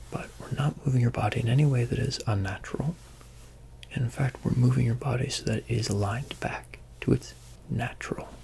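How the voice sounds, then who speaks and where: A soft-spoken man with a gentle tone, moderate pace and long, frequent pauses, light background noise behind him. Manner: soft-spoken, gentle ASMR voice. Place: home room. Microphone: phone near.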